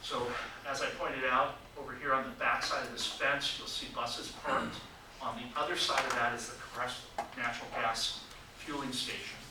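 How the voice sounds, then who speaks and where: Over noticeable background noise and audible room echo, a man speaks at a medium pitch with monotone, flat intonation. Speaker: transit agency official. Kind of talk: presentation at a public meeting. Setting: public meeting room. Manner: halting, many fillers.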